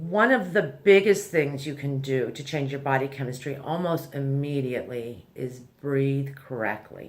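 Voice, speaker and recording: Speaking at a fairly slow pace with hardly any pauses, a woman has a very deep, low pitch and ordinary pitch variation over noticeable background noise. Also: big swings in loudness. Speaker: anxiety self-help video host. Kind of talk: tutorial. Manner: casual, conversational.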